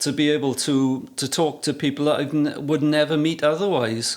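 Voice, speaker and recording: With fairly even intonation, a man talks at a moderate pace and a fairly high pitch. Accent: South Wales Valleys. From Wales. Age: 60s. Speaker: photographer. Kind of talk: casual interview chat.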